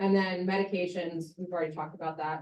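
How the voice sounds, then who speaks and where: A woman talks at a medium pitch with fairly even intonation. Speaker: physician assistant lecturer. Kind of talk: lecture. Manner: fast.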